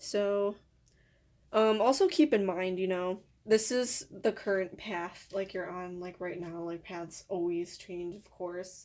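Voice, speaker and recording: A woman talks at a very slow pace, her pitch medium and her intonation fairly even. Her loudness swings widely on a very clean recording with a silent background. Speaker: tarot card reader. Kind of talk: personal tarot reading. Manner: casual, filler-heavy speech.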